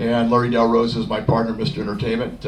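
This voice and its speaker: Talking at a very fast pace with a medium pitch, a man is heard over noticeable background noise and audible room echo. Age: 60s. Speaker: club member, podcast and event producer. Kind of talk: self-introduction talk at club meeting. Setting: club meeting with audience. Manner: halting.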